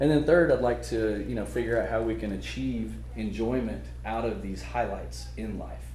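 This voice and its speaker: Speaking at a moderate pace, a man is heard with noticeable background noise. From Oklahoma. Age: 40s. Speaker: motivational speaker. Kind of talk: conference talk. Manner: loud.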